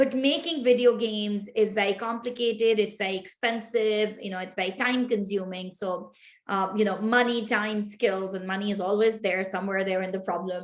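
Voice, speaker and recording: Speaking with a Pashto accent, a woman has a medium pitch. She hardly pauses at all. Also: fairly even intonation, moderate pace. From Pakistan. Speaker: tech start-up founder. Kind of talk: interview.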